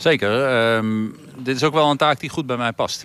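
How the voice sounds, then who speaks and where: This is an ordinary speaking voice: a man at medium pitch with ordinary pitch variation, talking at a moderate pace. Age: 50s. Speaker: volleyball coach. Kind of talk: interview.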